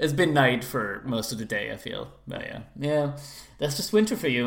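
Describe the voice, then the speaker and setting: A man at a moderate pace with music in the background. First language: French. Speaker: podcast host. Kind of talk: casual chat.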